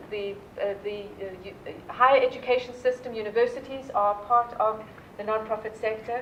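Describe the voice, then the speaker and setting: Noticeable background noise sits behind a woman speaking at a moderate pace with a South African accent. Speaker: nonprofit leader. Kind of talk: keynote talk. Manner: animated.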